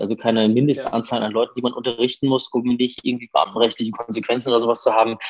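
The man's voice sits at a medium pitch. His intonation stays fairly even. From Germany, Hesse (near Fulda). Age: 30s. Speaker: violinist and music professor. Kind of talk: interview conversation. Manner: hesitant, many filler sounds.

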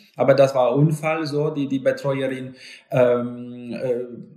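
A man talks very slowly with a Polish accent. His fairly high pitch stays monotone and flat. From Poland, Lower Silesia. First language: Polish (speaking German). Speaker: live-in caregiver. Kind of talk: interview. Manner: halting.

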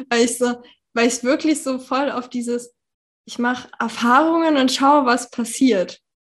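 A woman with a high pitch and fairly even intonation at a fairly slow pace. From Germany, Berlin. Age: 30s. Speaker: women's health consultant. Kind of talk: casual interview.

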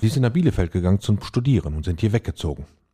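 A man's voice sits at a fairly low pitch, with a dark, mellow tone. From Lippe, Germany. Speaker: chef and restaurateur. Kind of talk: casual chat.

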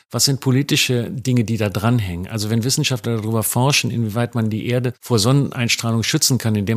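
It is a plain, everyday voice, captured on a very clean recording with a silent background. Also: man. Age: 60s. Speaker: journalist. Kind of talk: interview.

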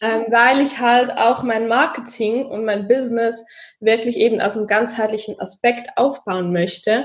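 Fairly slow in pace, the speech keeps fairly even intonation. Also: woman, fairly high pitch for a woman. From Switzerland, Zurich. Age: 30s. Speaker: social media marketing consultant. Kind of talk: podcast interview.

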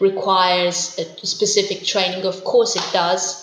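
A woman at a medium pitch, with noticeable background noise and audible room echo. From southern Italy, Puglia. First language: Italian. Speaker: interpreter and researcher. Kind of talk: interview. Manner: hesitant with fillers.

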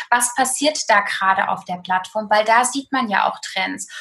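Bright, sharp tone from a woman at a moderate pace, with ordinary pitch variation. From Germany, eastern Hesse. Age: 30s. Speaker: food blogger and nutritionist. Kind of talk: casual interview.

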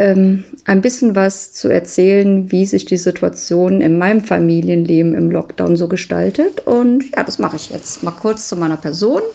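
Here a woman has an unremarkable speaking voice at a medium pitch. She keeps a moderate pace, and her intonation is lively. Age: 40s. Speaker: mother sharing lockdown family experience. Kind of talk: personal monologue testimony. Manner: casual, conversational.

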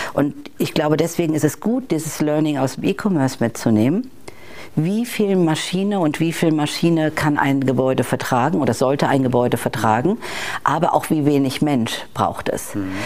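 A woman talks at a moderate pace in a very deep, low voice. Her intonation is lively. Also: very even loudness. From Bavaria, Germany. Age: 50s. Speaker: corporate digital executive. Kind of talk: interview. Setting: in-person recording in Hamburg.

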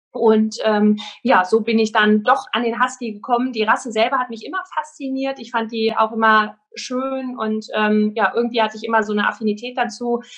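Delivery runs at a moderate pace with fairly even intonation. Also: woman. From Germany, Sauerland. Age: 30s. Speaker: dog trainer. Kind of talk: interview. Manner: hesitant, many filler sounds.

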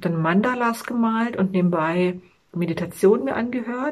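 This woman has an ordinary speaking voice. Her pitch is medium. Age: 40s. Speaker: fitness vlogger and mother. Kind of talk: personal video monologue.

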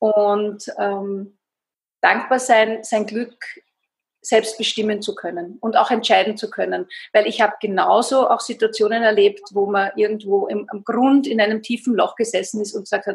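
A woman at a fairly high pitch, monotone, flat intonation and a fairly slow pace. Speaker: fasting coach. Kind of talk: interview. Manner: hesitant fillers.

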